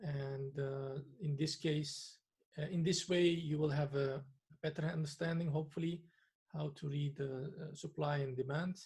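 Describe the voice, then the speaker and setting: The speech moves at a moderate pace. It carries a non-native accent. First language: not English. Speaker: trading analyst. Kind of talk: tutorial. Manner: hesitant, many filler sounds.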